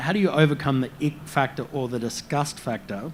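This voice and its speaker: The voice carries an Australian accent. Its pitch variation is ordinary. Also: man. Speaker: panel moderator. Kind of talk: panel discussion.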